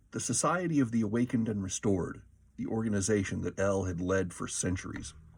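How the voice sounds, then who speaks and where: A man uses an ordinary speaking voice with lively intonation at a fairly quick pace. The recording is very clean, with a silent background. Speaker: audiobook narrator. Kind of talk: audiobook narration.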